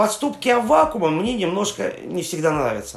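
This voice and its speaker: This man speaks with ordinary pitch variation. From Yaroslavl region, Russia. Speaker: tour guide. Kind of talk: interview. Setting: remote call.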